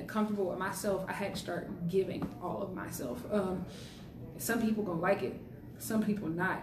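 Amid noticeable background noise and audible room echo, a woman with an American accent talks at a moderate pace and medium pitch, with ordinary pitch variation. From South Carolina, Columbia. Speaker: university student. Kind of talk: casual chat.

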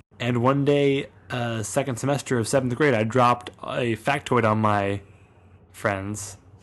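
A medium-pitched man talks at a fairly slow pace with fairly even intonation. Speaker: podcast co-host. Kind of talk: casual chat. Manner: deadpan, sounds sarcastic.

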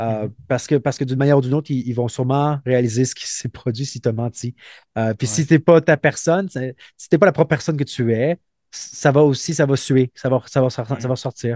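A man's medium-pitched voice with a dark, mellow tone, a fairly quick pace and ordinary pitch variation, in a dry, close sound with no echo against a quiet background. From Montreal, Quebec. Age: 30s. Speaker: former special forces soldier and police officer. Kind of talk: interview. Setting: remote call. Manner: halting, many repetitions.

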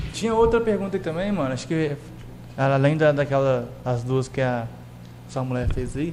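A man with a fairly high pitch speaks with long, frequent pauses, amid noticeable background noise and audible room echo. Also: moderate pace. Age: young. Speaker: podcast host. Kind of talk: casual chat.

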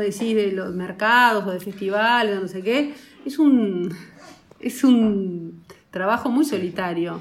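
A woman has an ordinary speaking voice at a medium pitch. Her pitch varies in an ordinary way. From rural Uruguay. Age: 40s. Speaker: film producer. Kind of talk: casual chat. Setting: office, remote call.

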